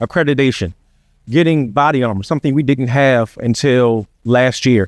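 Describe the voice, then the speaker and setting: With an American accent, a man talks at a moderate pace in an unremarkable speaking voice with ordinary pitch variation and a dry, close sound with no echo. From Virginia (Chesapeake). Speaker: sheriff candidate. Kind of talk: campaign speech. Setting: public forum with audience.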